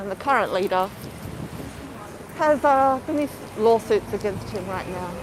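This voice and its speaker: Amid noticeable background noise, a woman with a fairly high pitch talks at a moderate pace with lively intonation, big swings in loudness, and long, frequent pauses. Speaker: livestreamer. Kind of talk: live stream commentary. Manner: casual. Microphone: muffled.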